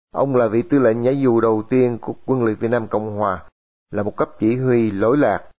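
Using a plain, everyday voice, a man talks at a moderate pace in a medium pitch with ordinary pitch variation. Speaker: radio host. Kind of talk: radio announcing. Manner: formal.

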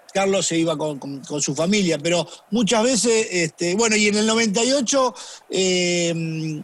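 A man delivers his words at a fairly slow pace. His intonation is lively. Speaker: football fitness coach. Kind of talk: casual chat.

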